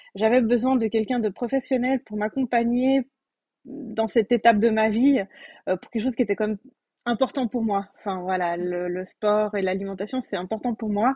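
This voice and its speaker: Somewhat breathy and dark, mellow in tone, a woman's fairly high voice comes through dry and close with no echo against a quiet background. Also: ordinary pitch variation, moderate pace. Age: 30s. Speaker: pregnant coaching client, childcare educator. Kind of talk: testimony.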